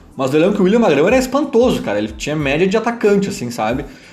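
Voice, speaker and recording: A man's high-pitched, very fast speech with very wide pitch swings, amid audible room echo and noticeable background noise. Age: 30s. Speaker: football podcaster. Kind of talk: casual football commentary monologue.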